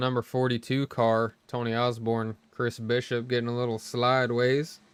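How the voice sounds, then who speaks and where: At a moderate pace and medium pitch, a man talks in a monotone, flat intonation. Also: hardly any pauses. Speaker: sim racing league broadcaster. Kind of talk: live commentary.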